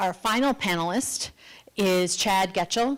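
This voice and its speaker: Medium pitch from a woman at a moderate pace, on a very clean recording with a silent background. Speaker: event moderator. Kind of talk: formal panel introductions. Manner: loud.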